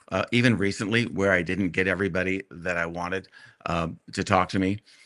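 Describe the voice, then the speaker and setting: On a very clean recording with a silent background, a man with a very deep, low pitch and a bright, sharp tone speaks at a fairly quick pace with fairly even intonation. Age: 60s. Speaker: true crime author. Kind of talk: casual chat. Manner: halting.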